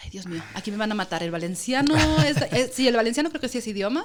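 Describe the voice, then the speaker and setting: A woman speaks with an Andalusian accent at a fairly high pitch. Her pitch swings very widely. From Andalusia, Spain. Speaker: journalist. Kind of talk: podcast interview answer.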